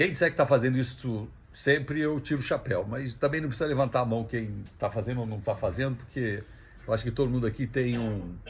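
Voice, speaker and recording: A man speaks at a fairly quick pace with ordinary pitch variation and a somewhat breathy quality. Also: medium pitch for a man. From Brazil, Rio de Janeiro. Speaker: speaker at a religious gathering. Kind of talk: talk to an audience. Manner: casual, conversational.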